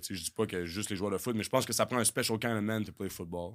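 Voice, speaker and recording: The recording is very clean with a silent background. A man speaks at a fairly low pitch with ordinary pitch variation. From Quebec City. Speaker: football coach and former pro football player. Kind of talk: casual chat. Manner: intense.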